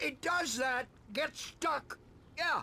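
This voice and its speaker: A high-pitched, put-on character voice over clear background noise. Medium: video game.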